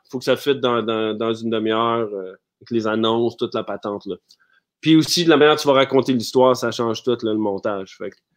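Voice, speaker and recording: Speaking at a fairly quick pace, the man keeps a medium pitch with ordinary pitch variation. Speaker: actor. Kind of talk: casual interview. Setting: live stream. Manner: calm; halting.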